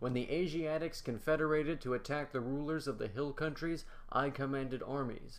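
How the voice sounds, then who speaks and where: A man with an ordinary speaking voice, fairly high in pitch, at a moderate pace with fairly even intonation. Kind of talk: scripted narration, reading an ancient Egyptian tale aloud in the first person. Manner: formal, measured, solemn storyteller's delivery.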